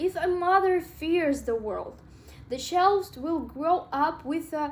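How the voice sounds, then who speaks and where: The woman takes her time, talking very slowly. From Russia. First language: Russian. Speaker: self-help vlogger. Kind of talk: casual talk to camera. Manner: halting, with filler words.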